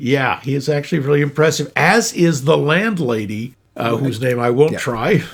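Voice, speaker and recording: A man's normal speaking voice, fairly high in pitch, with lively intonation, a moderate pace and hardly any pauses. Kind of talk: casual podcast movie discussion.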